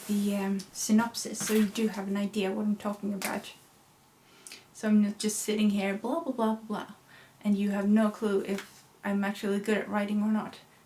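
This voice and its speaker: A woman's fairly high voice at a moderate pace, over noticeable background noise. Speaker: YouTuber and writer. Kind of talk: casual vlog talk.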